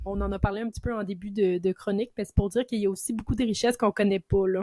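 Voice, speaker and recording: A woman speaks very fast in a dark, mellow tone, her loudness swinging widely, with a dry, close sound and no echo. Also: medium pitch for a woman. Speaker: heritage and history enthusiast. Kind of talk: casual chat. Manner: animated.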